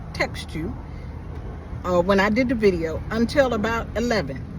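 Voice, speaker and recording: A man speaks at a moderate pace in an animated tone. Noticeable background noise sits under his voice. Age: 60s. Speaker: vlogger. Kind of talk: casual monologue.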